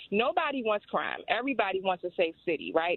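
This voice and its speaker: A woman with an American accent has a plain, everyday voice at a medium pitch. She talks at a fairly quick pace with ordinary pitch variation. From Washington, D.C. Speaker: caller. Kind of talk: call-in comment.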